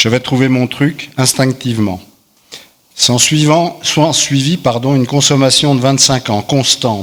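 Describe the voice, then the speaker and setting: An unremarkable speaking voice from a man, fairly slow, with ordinary pitch variation. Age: 60s. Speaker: recovering alcoholic giving testimony. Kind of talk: testimony, partly read aloud.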